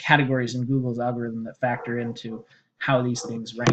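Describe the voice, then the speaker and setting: A man with an unremarkable speaking voice talks at a moderate pace and a medium pitch. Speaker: SEO consultant pitching a small business. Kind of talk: sales pitch screen-share walkthrough. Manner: casual with many fillers.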